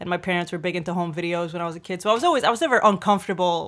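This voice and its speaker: A woman with a New York accent speaks at a very fast pace and a fairly low pitch. The recording is very clean, with a silent background. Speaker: comedian. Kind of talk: casual chat.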